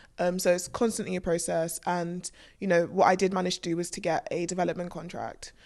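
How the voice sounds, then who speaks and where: A woman's fairly low voice in a London accent, monotone and flat, at a fairly quick pace. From North West London. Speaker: screenwriter. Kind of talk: casual interview chat.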